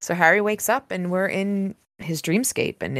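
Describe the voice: Plain reading aloud is heard. The background is quiet.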